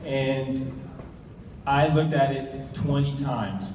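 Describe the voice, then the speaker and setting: A man talks in a fairly high pitch with an American accent. Audible room echo and noticeable background noise fill the recording. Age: 40s. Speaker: navy special forces instructor and network marketing associate. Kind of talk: presentation to an audience. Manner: mumbling.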